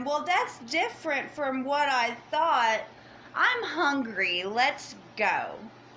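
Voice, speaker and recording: In a put-on character voice, a woman speaks very slowly, high and shrill, with very wide pitch swings over clear background noise. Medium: read story.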